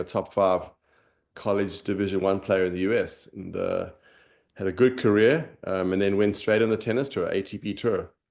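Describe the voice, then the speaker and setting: A man with a South African accent speaks at a fairly quick pace with fairly even intonation and a fairly low pitch against a quiet background. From South Africa, Johannesburg. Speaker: former tennis pro, finance executive. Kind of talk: interview, personal story.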